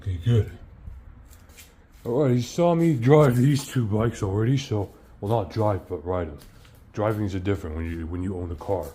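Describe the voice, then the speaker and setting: Somewhat breathy and fairly low in pitch, a man talks at a moderate pace with very wide pitch swings and long, frequent pauses. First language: not English. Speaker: bike vlogger. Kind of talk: casual video review. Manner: halting, repetitive.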